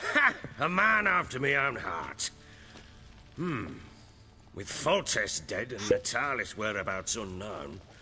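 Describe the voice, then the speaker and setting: With clear background noise behind him, a man in a raspy, put-on character voice of medium pitch speaks at a fairly slow pace with long, frequent pauses. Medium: video game. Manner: gruff, blunt.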